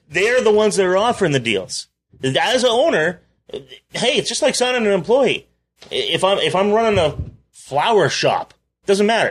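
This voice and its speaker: Keeping his loudness very even, a man speaks at a moderate pace in a high pitch with lively intonation. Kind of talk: ring announcer parody.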